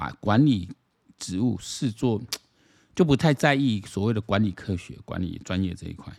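A man speaks in a fairly low voice with ordinary pitch variation. The recording is very clean, with a silent background. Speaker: political commentary podcaster. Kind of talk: solo commentary monologue. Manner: casual, many fillers.

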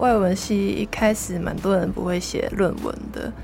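Music plays in the background. A woman talks at a fairly slow pace in a Hong Kong accent. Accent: Hong Kong Cantonese-accented Mandarin. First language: Cantonese (speaking Chinese). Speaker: university student. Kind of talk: casual interview.

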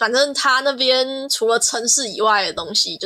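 With lively intonation and a bright, sharp tone, a woman talks at a moderate pace. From Taiwan, Kaohsiung. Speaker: art student. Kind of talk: casual chat.

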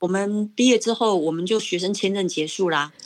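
Her medium pitch and lively intonation carry along at a moderate pace as the woman speaks. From Taiwan, Pingtung. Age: 50s. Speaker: educator and parent. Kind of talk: personal life story interview. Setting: video call.

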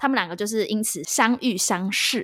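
A woman's fairly high voice, a normal speaking voice with ordinary pitch variation. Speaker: podcast co-host, movie reviewer. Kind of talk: casual chat, movie review. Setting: remote call.

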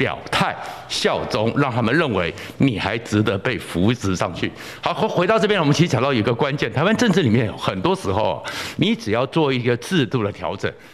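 Over noticeable background noise, a man speaks at a moderate pace with very wide pitch swings. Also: medium pitch for a man. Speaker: political commentator. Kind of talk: solo political commentary. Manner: animated.

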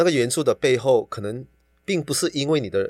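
On a very clean recording with a silent background, the speaker talks at a fairly quick pace. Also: man. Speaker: yoga teacher and fitness trainer. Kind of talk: casual chat. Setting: recording studio. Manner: animated, with laughter.

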